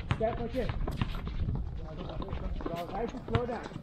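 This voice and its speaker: A man with ordinary pitch variation, over loud background noise. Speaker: basketball coach. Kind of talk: coaching instructions. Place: stadium. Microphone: camera far.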